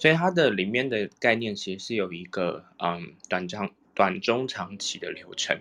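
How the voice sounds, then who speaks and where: A man with an ordinary speaking voice and medium pitch talks at a fairly slow pace with hardly any pauses, lively intonation and big swings in loudness. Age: young. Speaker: reiki teacher. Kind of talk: casual chat.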